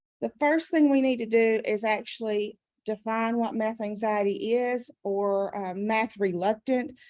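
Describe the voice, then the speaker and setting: A woman speaks with a Southern US accent at a fairly high pitch. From US South. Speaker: adult education math trainer. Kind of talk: conference presentation.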